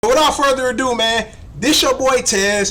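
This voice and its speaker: Loud and animated, a man with an American accent and an extremely high pitch speaks at a moderate pace with lively intonation over noticeable background noise. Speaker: sports live streamer. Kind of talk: casual live stream chat. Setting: live stream from home computer.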